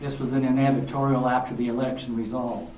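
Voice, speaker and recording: Over noticeable background noise and audible room echo, a man speaks at a fairly quick pace. His medium-pitched voice stays monotone and flat. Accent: American. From Utah, Draper area. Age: 60s. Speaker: city mayor on panel. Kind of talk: panel discussion.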